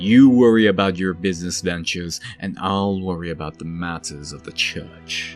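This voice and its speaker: Putting on a character voice with a very deep, low pitch, a man talks at a moderate pace with hardly any pauses, faint music playing in the background. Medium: audio drama. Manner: tired.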